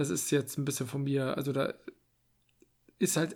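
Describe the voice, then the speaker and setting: On a very clean recording with a silent background, a man with a fairly high voice and vocal fry talks at a moderate pace. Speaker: podcast co-host. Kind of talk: casual chat.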